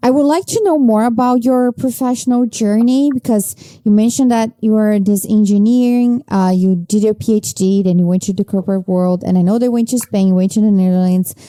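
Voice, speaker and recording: Hardly pausing, a woman talks fairly quickly in a fairly high voice with a dark, mellow tone, ordinary pitch variation and very even loudness, recorded dry and close with no echo. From Brazil. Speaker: podcast host, journalist. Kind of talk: interview conversation.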